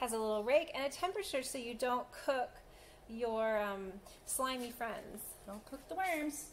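With an American accent, a woman talks at a moderate pace. Her high pitch carries lively intonation over light background noise. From Colorado, US. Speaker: thrift auction co-host for animal-rescue fundraiser. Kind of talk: casual auction item presentation. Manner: enthusiastic, rambling, filler-heavy. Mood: playful, amused. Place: home room. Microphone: phone near.

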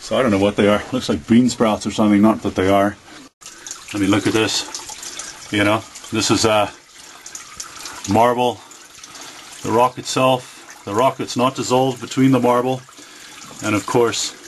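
At a moderate pace and with fairly even intonation, the speaker leaves long, frequent pauses over light background noise. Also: man. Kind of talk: casual commentary. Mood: curious, impressed. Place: tunnel cave. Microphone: phone near.

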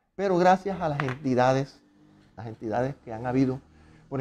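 Intonation here is lively, paced moderately. The tone is dark and mellow. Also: man. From Barranquilla, Colombian Caribbean coast; Colombian Caribbean coast. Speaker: musician and conductor. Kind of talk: interview storytelling. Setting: at his home. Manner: casual, colloquial. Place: home room. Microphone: lapel.

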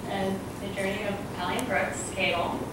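With loud background noise and audible room echo, a woman talks at a moderate pace. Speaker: wedding guest giving toast. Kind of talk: wedding toast, heartfelt and personal. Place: hall. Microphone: camera far.

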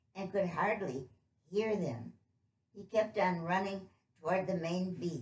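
An unforced reading voice with fairly even intonation comes through. The background is quiet.

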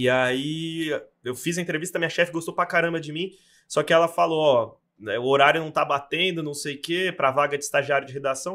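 A man talks at a fairly quick pace in a bright, sharp tone with fairly even intonation. Behind him the background is quiet. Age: 20s. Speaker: sports journalist. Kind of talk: casual chat. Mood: relaxed, conversational. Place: studio. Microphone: studio mic.

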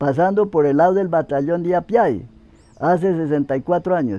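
A man with a dark, mellow tone speaks at a moderate pace with ordinary pitch variation, the sound dry with no echo. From Boyacá, Colombia. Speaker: farm day laborer. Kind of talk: interview answer. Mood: calm, reminiscing. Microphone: lapel.

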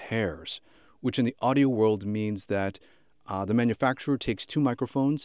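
Against a quiet background, a man talks with ordinary pitch variation in a dry sound with no echo. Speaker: audio gear reviewer. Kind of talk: review commentary to camera. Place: studio.

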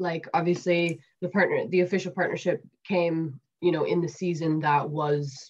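A somewhat breathy woman's voice with a Canadian accent, monotone and flat, at a moderate pace. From Canada. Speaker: women's rugby player. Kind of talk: interview. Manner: hesitant, many fillers. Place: home room. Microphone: webcam.

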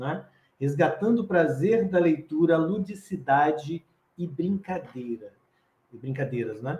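Through audible room echo, a man with a dark, mellow tone and fairly high pitch talks at a fairly slow pace. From Brazil, Espírito Santo. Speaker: professor and children's author, storyteller; professor, storyteller. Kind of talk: lecture-style interview. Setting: online live stream. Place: home room. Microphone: video call.

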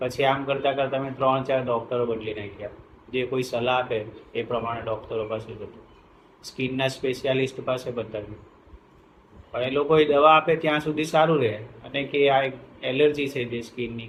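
A somewhat breathy man's voice, medium in pitch, with fairly even intonation. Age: 50s. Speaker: patient. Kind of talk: testimony.

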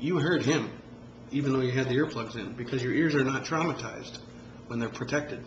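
A man talks with fairly even intonation over light background noise, and the room echo is audible. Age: 40s. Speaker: amateur musician vlogger. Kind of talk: tutorial. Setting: home video recording. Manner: halting, many fillers. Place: home room. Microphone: phone near.

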